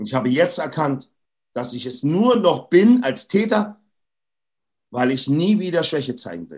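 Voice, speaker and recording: Moving at a moderate pace, a man's fairly high voice makes very wide pitch swings. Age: 40s. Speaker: anti-bullying activist. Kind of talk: interview. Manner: emphatic.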